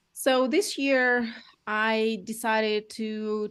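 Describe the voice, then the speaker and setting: A woman with a Russian accent and a fairly high pitch, against a quiet background. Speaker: real estate agent. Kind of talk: interview. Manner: halting.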